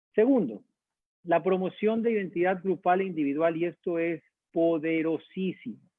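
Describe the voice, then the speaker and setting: With a slight Guayaquil accent, a man speaks at a high pitch and a moderate pace, his pitch varying in an ordinary way. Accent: Guayaquil (coastal Ecuadorian) accent, slight. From Ecuador, Guayaquil. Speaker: university dean. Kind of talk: online talk / lecture with Q&A.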